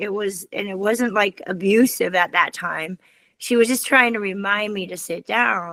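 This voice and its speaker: In a very clean recording with a silent background, a woman with an ordinary speaking voice talks at a fairly slow pace, her fairly high pitch held to fairly even intonation. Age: 60s. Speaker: children's author. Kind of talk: interview.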